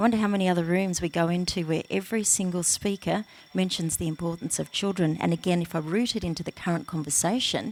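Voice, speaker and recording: Very fast, hardly pausing speech from a woman with a fairly low pitch and an Australian accent. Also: fairly even intonation. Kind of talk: panel discussion. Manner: hesitant with many fillers.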